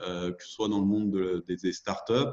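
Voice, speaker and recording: A man speaks at a moderate pace. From France, Lyon region (Beaujolais). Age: 30s. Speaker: entrepreneur, former corporate manager. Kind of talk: interview. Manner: halting, many hesitations.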